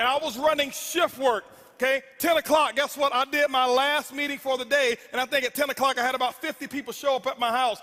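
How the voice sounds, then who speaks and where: This man's voice sits at an extremely high pitch, raised and projected. His tone is animated and intense, bright and sharp. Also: fairly quick pace. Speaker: network marketing speaker. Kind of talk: motivational speech. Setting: stage with audience. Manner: loud, intense.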